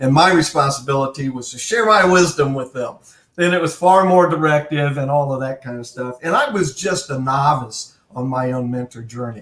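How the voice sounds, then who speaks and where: A man with a normal speaking voice talks at a moderate pace, his pitch fairly high for a man and ordinary in its variation. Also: big swings in loudness. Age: 60s. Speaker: retired army colonel and mentoring author. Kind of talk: interview conversation.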